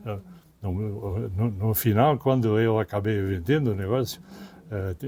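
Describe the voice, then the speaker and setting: This man's voice is fairly low in pitch, somewhat breathy and dark, mellow in tone. He moves at a moderate pace with ordinary pitch variation. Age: 90s. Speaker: expedition veteran and retired businessman. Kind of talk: interview. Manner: halting, with repetitions.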